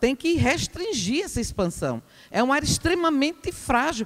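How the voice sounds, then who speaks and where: A woman's high-pitched voice at a moderate pace, full of very wide pitch swings. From Brazil, Aracaju (Sergipe). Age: 60s. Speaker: resident speaking at public hearing. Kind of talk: public hearing comment. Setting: public hearing in a school.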